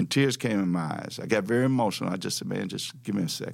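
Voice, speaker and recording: Speaking very fast with a Southern US accent, a man has lively intonation and a medium pitch. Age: 70s. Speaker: civil rights activist and former local politician. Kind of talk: personal storytelling interview.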